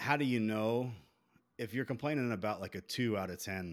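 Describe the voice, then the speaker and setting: With a Southern US accent, a man talks at a fairly low pitch on a very clean recording with a silent background. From Beaufort, South Carolina. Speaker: podcast host. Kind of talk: casual chat.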